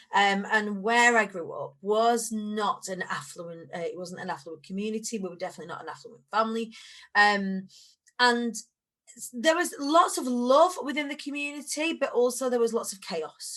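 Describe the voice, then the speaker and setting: Speaking with a Lancashire accent, this voice makes very wide pitch swings and big swings in loudness over a quiet background. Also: woman, fairly high pitch for a woman, moderate pace. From northern England, Preston, Lancashire. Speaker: motivational speaker. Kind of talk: casual chat.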